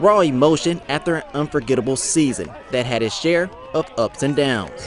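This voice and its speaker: A man's fairly high voice at a moderate pace against noticeable background noise. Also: ordinary pitch variation. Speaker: sports anchor. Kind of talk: TV news feature story narration.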